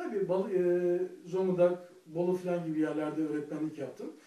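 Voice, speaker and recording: A man speaks with a high pitch at a fairly quick pace. Audible room echo surrounds his voice. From Turkey, Balıkesir (rural Aegean/Marmara); Turkey. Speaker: comedian; comedian telling his story. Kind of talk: personal monologue to camera. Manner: hesitant, many filler sounds. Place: home room. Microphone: camera far.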